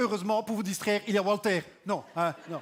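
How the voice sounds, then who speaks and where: A man's high-pitched voice at a very fast pace. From Belgium. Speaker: stand-up comedian. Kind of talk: stand-up.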